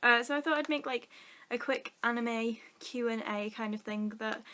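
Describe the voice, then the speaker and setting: A woman's fairly high voice, bright and sharp in tone, with a northern English accent. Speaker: vlogger. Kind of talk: casual chat.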